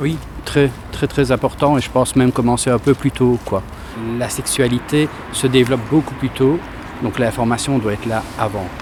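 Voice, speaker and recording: Over noticeable background noise, a man speaks at a medium pitch with fairly even intonation. He leaves long, frequent pauses. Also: moderate pace. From rural area. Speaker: street interviewee. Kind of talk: street interview.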